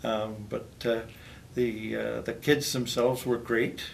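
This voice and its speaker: A man's fairly low voice in a Canadian accent, monotone and flat, with audible room echo. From northwestern Ontario, Canada. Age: 70s. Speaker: retired teacher. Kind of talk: interview. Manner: hesitant, many fillers.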